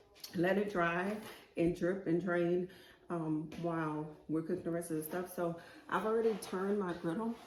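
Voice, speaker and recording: A woman's fairly low voice with fairly even intonation at a moderate pace, over noticeable background noise. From New Orleans, Louisiana. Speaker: cooking channel host. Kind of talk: cooking tutorial, casual chat. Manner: casual, chatty with fillers.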